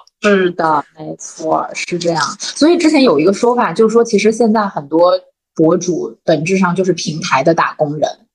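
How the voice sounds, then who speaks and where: A woman with a normal speaking voice, medium pitch, moderate pace and lively intonation. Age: 30s. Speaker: company vice president, former internet product manager. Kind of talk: casual chat.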